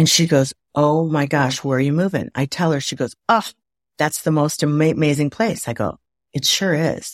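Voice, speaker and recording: A woman with a very deep, low pitch speaks in an animated tone with an American accent, at a moderate pace with ordinary pitch variation, in a dry, close sound with no echo on a very clean recording with a silent background. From US Midwest, Waukegan, Illinois. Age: 60s. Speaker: former TV producer and author. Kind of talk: interview conversation.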